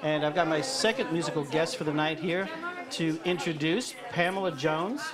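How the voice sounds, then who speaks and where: Someone with an American accent speaks at a moderate pace while crowd noise carries in the background. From New York. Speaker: radio host. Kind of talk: radio interview. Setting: live radio broadcast from a cafe.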